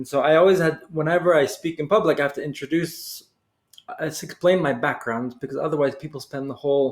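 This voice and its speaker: A man speaks very fast in an American accent. His pitch is fairly high and his intonation fairly even. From US, Boston area, New England. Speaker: executive coach, Navy veteran. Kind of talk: casual interview chat.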